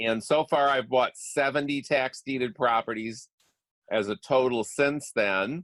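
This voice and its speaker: A man with a normal speaking voice, medium pitch and ordinary pitch variation, at a fairly slow pace, with very even loudness and a dry, close sound with no echo. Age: 60s. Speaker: real estate investor and coach. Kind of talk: interview.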